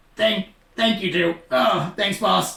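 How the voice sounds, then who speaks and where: In a put-on character voice, a man talks at a high pitch with ordinary pitch variation. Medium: actual play. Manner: tired, casual.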